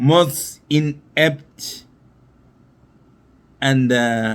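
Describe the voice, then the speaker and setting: A man's medium-pitched voice with ordinary pitch variation, in a very clean recording with a silent background. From northern Uganda. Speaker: former politician. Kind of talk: political monologue. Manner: slow.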